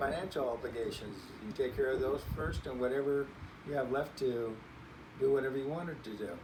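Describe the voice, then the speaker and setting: The speaker has an American accent and a moderate pace. Noticeable background noise and audible room echo are present. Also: man. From California Central Valley. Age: 70s. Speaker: grandparent interviewee. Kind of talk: interview.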